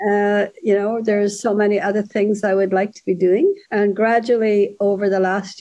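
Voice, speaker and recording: Speaking in an Irish accent at a moderate pace, a woman has a medium pitch and a dark, mellow tone. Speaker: author. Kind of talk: casual interview chat.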